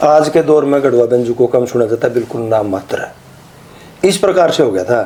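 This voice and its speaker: A man with a Haryana accent at a moderate pace, against noticeable background noise. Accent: Haryanvi. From Haryana, India. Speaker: Haryanvi ragni singer and lyricist. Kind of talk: interview answer.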